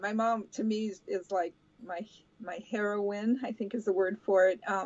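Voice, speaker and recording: Speaking fairly slowly, a woman keeps a medium pitch and fairly even intonation. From grew up abroad, Brazil and US (Albuquerque). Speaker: interviewee, mother. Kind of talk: interview. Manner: hesitant, many fillers.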